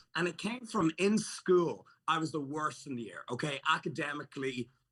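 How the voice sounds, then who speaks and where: A man with an Irish accent speaks in an animated, bright, sharp tone at a moderate pace, with fairly high pitch and lively intonation. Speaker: fitness entrepreneur and YouTuber. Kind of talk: casual chat.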